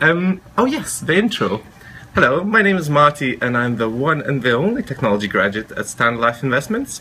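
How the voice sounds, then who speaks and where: With a Lithuanian accent, a man speaks at a moderate pace and a fairly high pitch. His pitch swings very widely over noticeable background noise. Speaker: technology graduate trainee. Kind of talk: self-introduction video.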